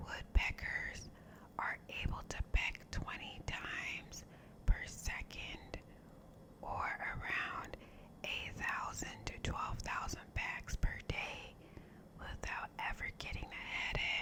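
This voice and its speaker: Someone whispers very slowly, with long, frequent pauses, over noticeable background noise. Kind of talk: whispered ASMR fact reading. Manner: whispered, soft, relaxing.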